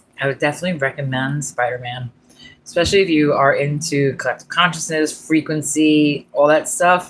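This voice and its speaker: The speaker moves at a fairly quick pace. Noticeable background noise runs underneath. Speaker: livestreamer. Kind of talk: casual chat. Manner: rambling with fillers.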